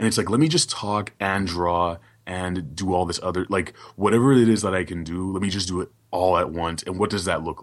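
With an American accent, a man speaks in a very deep, low voice with ordinary pitch variation, barely pausing against a quiet background. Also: moderate pace. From Brooklyn, New York. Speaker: illustrator and podcaster. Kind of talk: casual interview chat.

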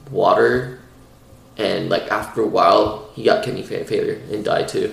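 There's a male speaker. Background noise is clearly audible. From Iran. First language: Persian. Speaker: podcast co-host. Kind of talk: casual chat.

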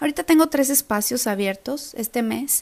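A woman's high pitch with ordinary pitch variation and a Mexican accent, against noticeable background noise. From Mexico. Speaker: nutrition coach. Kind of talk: podcast monologue. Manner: animated.

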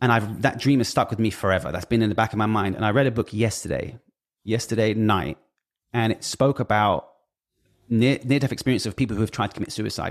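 A man with a British accent talks at a very fast pace. His medium pitch shows ordinary variation in a very clean recording with a silent background. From Britain. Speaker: music industry figure. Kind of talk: casual chat. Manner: halting.

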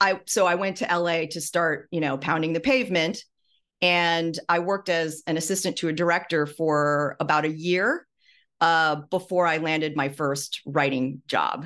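At a moderate pace, a woman with an American accent and an unremarkable speaking voice talks at a fairly low pitch with ordinary pitch variation. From US Midwest. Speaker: former TV writer and memoirist. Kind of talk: interview.

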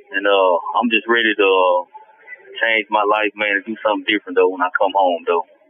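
Against noticeable background noise, a man talks at a fairly quick pace in a fairly low, monotone, flat voice. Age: 40s. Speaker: prison inmate. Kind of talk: personal testimony. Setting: phone call from prison. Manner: laid-back.

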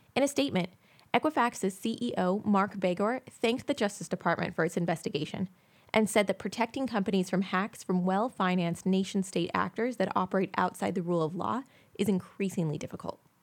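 A woman's plain, everyday voice, medium in pitch, with ordinary pitch variation and a fairly quick pace. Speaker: news reporter. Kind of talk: news reading, scripted tech news bulletin. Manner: formal; steady, brisk and even-paced, newsreader delivery.

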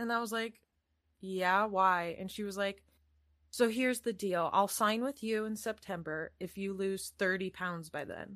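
A woman speaks at a fairly slow pace in a medium pitch, with an American accent and fairly even intonation. It is a plain, everyday voice. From Iowa, US. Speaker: actor and casting person. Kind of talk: casual chat. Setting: video call.

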